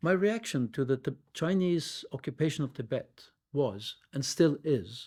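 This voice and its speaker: On a very clean recording with a silent background, a man with a Norwegian accent speaks at a very slow pace in a fairly high, somewhat breathy voice with a dark, mellow tone. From Norway (Oslo). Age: 70s. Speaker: Tibetan studies professor. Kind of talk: oral history interview, reading prepared memoir. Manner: formal.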